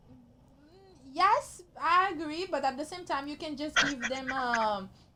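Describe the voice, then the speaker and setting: Very slowly, a woman speaks in a high, raised, projected voice with a bright, sharp tone, lively intonation and big swings in loudness. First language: Haitian Creole. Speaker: talk show host, lifestyle expert. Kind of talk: interview.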